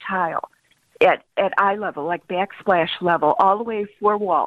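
With an American accent, a woman talks at a medium pitch. She has a plain, everyday voice. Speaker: caller, homeowner. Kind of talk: radio call-in. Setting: phone call.

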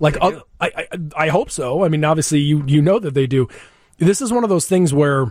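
Speaking at a moderate pace, a man uses a normal speaking voice with a fairly high pitch and ordinary pitch variation. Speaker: radio show host. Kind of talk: casual interview chat. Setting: studio.

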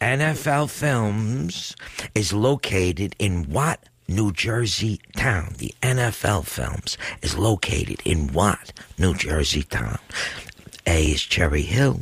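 Noticeable background noise accompanies a man with a fairly low pitch. He speaks very slowly with very wide pitch swings. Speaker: radio show guest co-host reading trivia questions. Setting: radio studio. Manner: calm, relaxing delivery.

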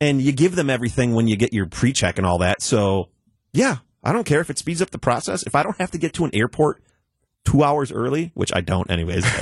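Recorded dry and close with no echo against a quiet background, a man of medium pitch talks very fast with vocal fry and very wide pitch swings. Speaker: technology expert. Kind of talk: casual chat. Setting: studio.

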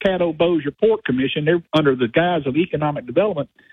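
A man's high voice at a very fast pace, with a Southern US accent and ordinary pitch variation. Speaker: caller. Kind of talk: talk radio call-in. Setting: phone call.

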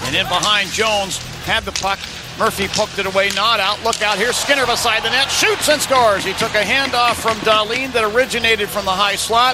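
A high-pitched male voice at a fairly quick pace, with music in the background. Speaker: hockey play-by-play announcer. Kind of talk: live hockey commentary. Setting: arena broadcast at the stadium. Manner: fast, excited play-by-play delivery.

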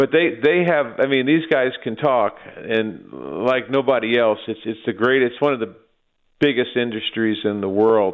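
This is a plain, everyday voice from a man at medium pitch. He keeps a moderate pace with ordinary pitch variation. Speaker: financial planner caller. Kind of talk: casual talk-radio chat on markets and politics. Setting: phone call.

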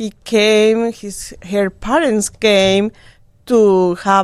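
A woman with a Spanish accent speaks at a very slow pace in a medium pitch. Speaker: DJ's mother, guest. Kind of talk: casual interview.

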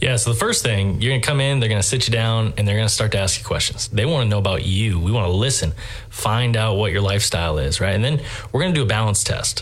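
Very fast speech at very even loudness with ordinary pitch variation, plus noticeable background noise and audible room echo. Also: man, fairly low pitch for a man. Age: 30s. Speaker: store franchise representative. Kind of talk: interview. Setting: studio.

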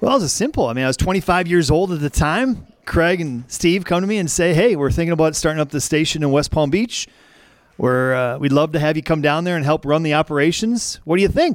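A man with an American accent speaks at a fairly quick pace in a fairly high pitch. He has an ordinary speaking voice with ordinary pitch variation. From Wisconsin. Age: 40s. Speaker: former radio program director. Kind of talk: casual chat.

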